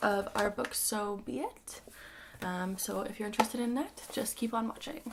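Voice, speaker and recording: With noticeable background noise behind her, a woman speaks at a medium pitch with ordinary pitch variation. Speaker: audiobook reader. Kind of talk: casual talk to camera.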